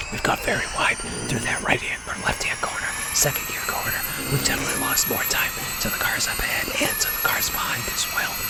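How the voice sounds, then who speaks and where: Whispering at a fairly quick pace, a man speaks over noticeable background noise. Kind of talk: gaming commentary, racing video. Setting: home recording, voiceover over gameplay. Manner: whispered, soft-spoken.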